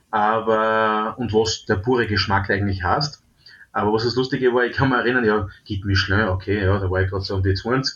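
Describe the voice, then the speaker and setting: A man's fairly low, plain, everyday voice at a fairly quick pace, with fairly even intonation. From Austria, southeastern Styria. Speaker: top chef and restaurateur. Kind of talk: interview.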